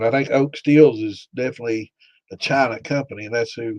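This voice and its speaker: Fairly even intonation marks this voice with an American accent, heard as a dry, close sound with no echo. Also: man. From US, Pike County. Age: 60s. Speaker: home distiller and livestream host. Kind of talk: live-stream Q&A chat. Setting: live stream. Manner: casual, halting with fillers.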